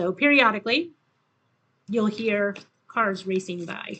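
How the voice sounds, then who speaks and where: Loud and bright with a sharp tone, a woman speaks at medium pitch and a moderate pace with ordinary pitch variation. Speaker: tarot reader. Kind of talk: tarot reading. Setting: home with windows open.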